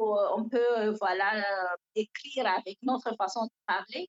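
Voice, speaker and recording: Speaking in a West African accent, a woman with a fairly high pitch talks at a very slow pace. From northern Cameroon. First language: Fula (speaking French). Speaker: novelist. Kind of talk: interview.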